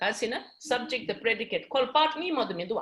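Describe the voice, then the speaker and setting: A woman talks at a very fast pace in a Tibetan accent. Her pitch is high. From Tibetan community. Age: 50s. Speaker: English teacher. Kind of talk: classroom lecture. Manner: switches between English and Tibetan.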